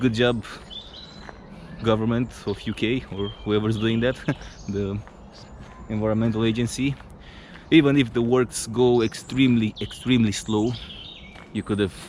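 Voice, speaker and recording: A man speaks at a medium pitch with a Romanian accent, his intonation flat and monotone, broken by long, frequent pauses. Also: moderate pace. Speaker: travel vlogger. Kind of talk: casual vlog narration. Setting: outdoors. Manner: halting, with fillers and restarts.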